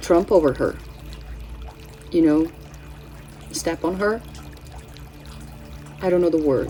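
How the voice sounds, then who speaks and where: The speech moves at a fairly slow pace with long, frequent pauses and ordinary pitch variation. Noticeable background noise is present. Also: woman, fairly low pitch for a woman. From Brazil. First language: Portuguese. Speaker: astrology and tarot channel host. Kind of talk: casual spiritual forecast monologue. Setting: home, cats present. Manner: halting, with many fillers and self-corrections.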